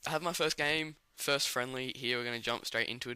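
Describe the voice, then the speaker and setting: A man's bright, sharp voice at medium pitch, with fairly even intonation, on a very clean recording with a silent background. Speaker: gaming commentator. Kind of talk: video game commentary. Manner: casual.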